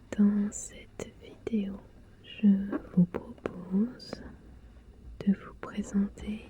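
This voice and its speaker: Soft-spoken, very slow delivery in a relaxed tone, with long, frequent pauses. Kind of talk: ASMR board game unboxing, soft-spoken voice-over to camera. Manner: soft-spoken, relaxed.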